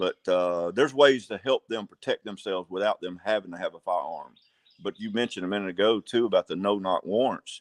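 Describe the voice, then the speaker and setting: A fairly quick pace with ordinary pitch variation, in an Alabama accent. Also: man, fairly low pitch for a man. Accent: Southern US (Alabama). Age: 60s. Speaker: sheriff candidate. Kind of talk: interview. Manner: halting.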